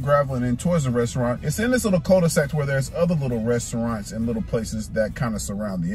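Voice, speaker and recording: A man talks at a very fast pace. The sound is dry with no echo, and faint music plays in the background. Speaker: food reviewer vlogger. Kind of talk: casual vlog chat. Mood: joking, mildly complaining. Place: car. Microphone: phone near.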